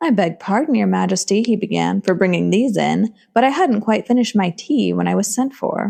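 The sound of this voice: An unforced voice, reading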